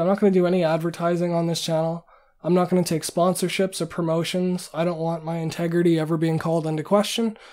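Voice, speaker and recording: The speaker talks at a fairly quick pace with a Canadian accent. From Canada. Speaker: independent machine learning researcher and YouTuber. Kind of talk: casual monologue to camera. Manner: hesitant, many fillers.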